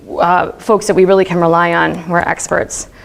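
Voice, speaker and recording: The voice belongs to a woman. Clearly audible noise sits in the background. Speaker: research psychologist. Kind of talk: academic talk. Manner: casual, filler-heavy; fast.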